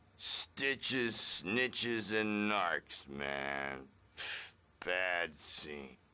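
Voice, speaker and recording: A man's gruff, put-on character voice, very deep and low, with very wide pitch swings at a very slow pace. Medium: video game. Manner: hippie slang, gruff.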